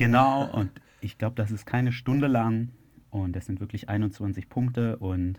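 Speaking fairly slowly with fairly even intonation, a man at medium pitch uses a plain, everyday voice in a very clean recording with a silent background. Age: 30s. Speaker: software entrepreneur and podcaster on self-improvement. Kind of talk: interview.

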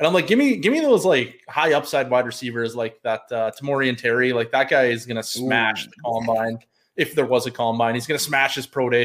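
A man's plain, everyday voice with a Canadian accent, medium pitch and fairly even intonation, at a fairly quick pace with hardly any pauses, over a very clean recording with a silent background. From Canada. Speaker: fantasy football analyst and accountant. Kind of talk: casual chat.

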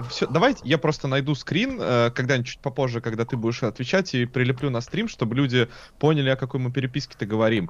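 A man talking at a very fast pace, medium in pitch, with ordinary pitch variation. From Russia, St. Petersburg. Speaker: software developer streamer. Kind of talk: casual chat. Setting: live stream.

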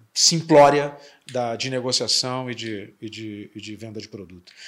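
A man speaks with fairly even intonation. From Curitiba, southern Brazil. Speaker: podcast host, company president. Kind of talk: interview podcast.

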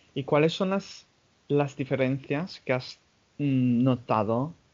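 A man's very slow speech with an English accent and fairly even intonation. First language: English (speaking Spanish). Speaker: podcast host. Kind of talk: casual chat.

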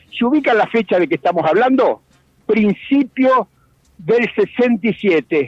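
A man speaks at a very slow pace in a high voice with lively intonation. His loudness stays very even, and the sound is dry and close with no echo. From Argentina, Chivilcoy (Buenos Aires province). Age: 70s. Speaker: veteran political activist. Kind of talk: radio interview, historical testimony.

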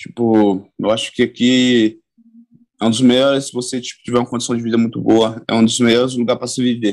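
Here a man speaks at a fairly quick pace in a normal speaking voice of medium pitch. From São Paulo coast, Brazil (born in Bahia). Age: 20s. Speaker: jiu-jitsu athlete. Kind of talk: casual interview.

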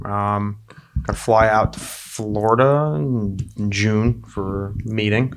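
Fairly even in intonation, a man speaks at a fairly low pitch. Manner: joking, jokey.

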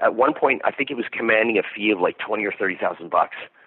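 With a Canadian accent, a man speaks in a plain, everyday voice at medium pitch with ordinary pitch variation. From Canada. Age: 50s. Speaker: metal musician. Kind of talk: interview.

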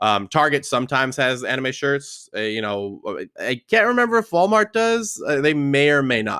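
In a very clean recording with a silent background and a dry, close sound free of echo, a man with a fairly high pitch talks at a moderate pace with very wide pitch swings and hardly any pauses. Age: 20s. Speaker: anime podcast host. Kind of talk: casual solo rant.

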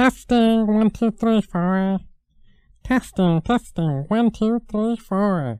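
A put-on character voice with a fairly high pitch. It moves at a very slow pace.

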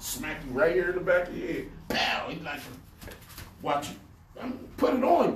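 A high-pitched male voice in an American accent, lively in intonation at a moderate pace, with audible room echo and noticeable background noise. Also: big swings in loudness. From Pittsburgh, US. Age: 60s. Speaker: community activist and urban farmer. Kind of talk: interview. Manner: animated.

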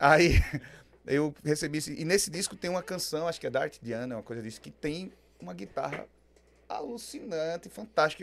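Fairly high in pitch, a man's voice moves at a very fast pace with lively intonation. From Aracaju, Sergipe, Brazil. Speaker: rock singer-songwriter. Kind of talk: casual interview chat.

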